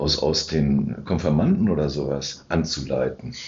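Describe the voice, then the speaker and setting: A man speaks very slowly in a very deep, low voice with vocal fry. The recording has audible room echo. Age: 60s. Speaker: church council member and podcast co-host. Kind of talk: casual chat. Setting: sacristy of a church.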